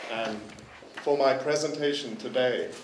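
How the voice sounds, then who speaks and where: The recording carries noticeable background noise and audible room echo. Speaking fairly slowly is a man. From partly Netherlands, Thai ties. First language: Dutch. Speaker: curator. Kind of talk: conference presentation. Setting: forum with interpreter, microphone. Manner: halting, many repetitions and fillers.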